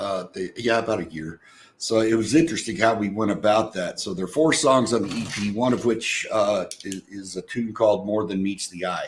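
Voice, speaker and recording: At a moderate pace, a man speaks in an ordinary speaking voice with medium pitch and ordinary pitch variation. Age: 60s. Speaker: singer-songwriter, retired corporate worker. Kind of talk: casual interview chat.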